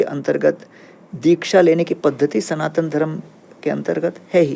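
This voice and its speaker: A man's fairly high-pitched voice with a dark, mellow tone. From central India (Bhilai), Kerala family. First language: Tamil and Malayalam (speaking Hindi). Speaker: monk and spiritual teacher. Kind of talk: podcast interview. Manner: calm, explanatory.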